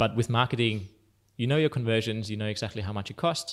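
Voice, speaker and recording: With a German accent, a man speaks at a fairly low pitch with ordinary pitch variation on a very clean recording with a silent background. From Austria, mountains south of Salzburg. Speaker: startup founder and CEO. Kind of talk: interview. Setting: office.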